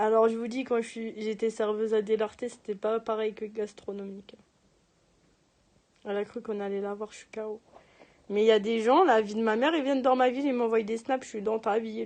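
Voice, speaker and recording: Speaking at a fairly quick pace yet with long, frequent pauses, a woman keeps a fairly high pitch and fairly even intonation while her loudness swings widely. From Paris region (Seine-et-Marne, 77). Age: 20s. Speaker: livestreamer. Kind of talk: casual chat.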